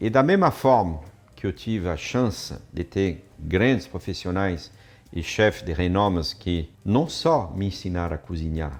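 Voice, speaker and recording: Very deep, low male speech in a strong French accent, fairly slow with lively intonation. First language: French (speaking Portuguese). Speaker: chef and cooking teacher. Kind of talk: online class presentation.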